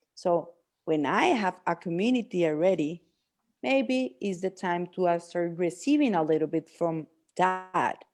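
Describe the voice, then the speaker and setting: Over a quiet background, a woman with a Spanish accent speaks at a fairly low pitch with lively intonation. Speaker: coach and healer. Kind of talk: casual chat. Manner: halting.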